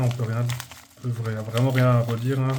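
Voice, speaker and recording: A man's monotone, flat voice at medium pitch with an Alsatian accent, at a moderate pace amid noticeable background noise. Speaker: YouTuber, Pokémon card collector. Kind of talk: casual video commentary. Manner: halting, many hesitations.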